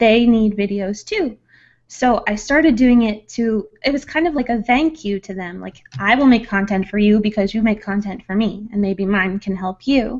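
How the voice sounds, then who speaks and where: A woman's fairly high voice at a moderate pace with ordinary pitch variation, a plain, everyday voice against a quiet background. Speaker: ASMR content creator. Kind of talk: interview answer. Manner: soft-spoken, calm.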